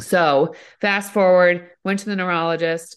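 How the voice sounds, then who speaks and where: A plain, everyday voice from a woman, fairly low in pitch with fairly even intonation, over a quiet background. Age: 40s. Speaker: entrepreneur and mom with multiple sclerosis. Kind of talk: casual chat.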